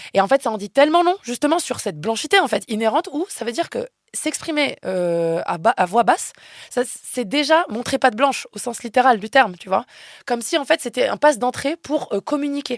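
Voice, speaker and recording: A woman speaks loudly at a high pitch and a fairly quick pace, with very wide pitch swings. The recording is very clean and silent, with a dry, close sound and no echo. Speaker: philosophy researcher and activist. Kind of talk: interview conversation.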